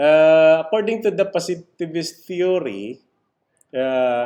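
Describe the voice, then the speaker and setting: With a Visayan Filipino accent, a man speaks very slowly in a dark, mellow tone with lively intonation. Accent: Filipino (Cebuano) English. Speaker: criminology lecturer. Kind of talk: lecture. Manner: halting, many fillers.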